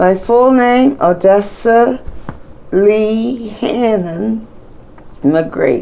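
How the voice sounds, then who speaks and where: A woman with an American accent, medium pitch and lively intonation, at a very slow pace with long, frequent pauses, amid noticeable background noise and audible room echo. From Pittsburgh, Pennsylvania, US. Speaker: grandmother telling her life story. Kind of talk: oral history interview.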